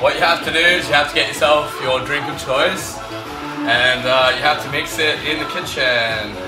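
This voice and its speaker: Clear music plays behind a man speaking. He keeps a moderate pace with ordinary pitch variation. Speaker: vlogger. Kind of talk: casual vlog chat. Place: kitchen. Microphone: camera far.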